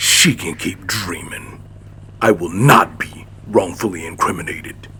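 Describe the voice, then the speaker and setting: A man puts on a growling character voice, very deep and low, with a stern tone and big swings in loudness. He speaks at a moderate pace over clear background noise. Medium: machinima. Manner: terse, stern.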